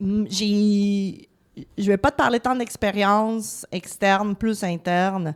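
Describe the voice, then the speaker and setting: Speaking very slowly with a Latin American Spanish accent, the voice keeps fairly even intonation and very even loudness in a dry, close sound with no echo. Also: woman, medium pitch for a woman. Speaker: politician. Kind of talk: casual interview.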